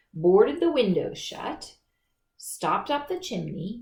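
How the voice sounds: There is a natural reading voice over a quiet background.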